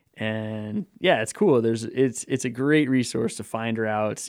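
An ordinary speaking voice from a man, medium in pitch with ordinary variation, on a very clean recording with a silent background. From Colorado, US. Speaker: mountain runner. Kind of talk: interview.

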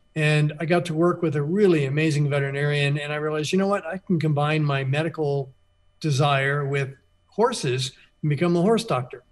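A somewhat breathy man at a fairly high pitch, fairly quick in pace, with ordinary pitch variation. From Florida Keys. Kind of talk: radio interview.

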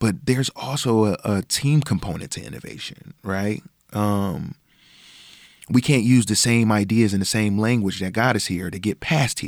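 On a very clean recording with a silent background, a man with an American accent speaks at a moderate pace, fairly low in pitch with ordinary pitch variation. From Buffalo, New York (lower East Side). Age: 30s. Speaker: performance coach and author. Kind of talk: interview.

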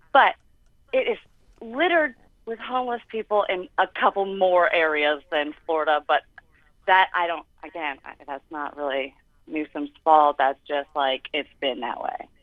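An unremarkable speaking voice from a woman, fairly low in pitch and fairly slow in pace, with big swings in loudness. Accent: American. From Los Angeles, Southern California. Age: 20s. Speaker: caller. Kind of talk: call-in radio. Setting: phone call.

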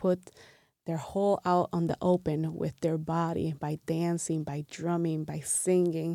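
Someone with a Spanish accent speaks at a fairly slow pace in a monotone, flat intonation and a dark, mellow tone. The sound is dry and close, without echo. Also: woman. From Puerto Rico, Ponce, moved to Milwaukee at 13. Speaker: artist and community member. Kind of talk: interview.

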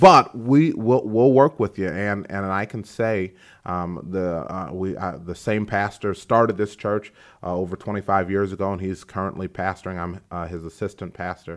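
A man's fairly low-pitched, American-accented voice, a normal speaking voice with ordinary pitch variation at a moderate pace, on a very clean recording with a silent background. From DeKalb, Illinois. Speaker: assistant principal and pastor. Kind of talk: interview.

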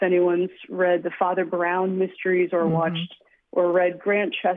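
A woman speaks in a normal speaking voice at a medium pitch. Her pace is moderate. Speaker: novelist. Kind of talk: interview.

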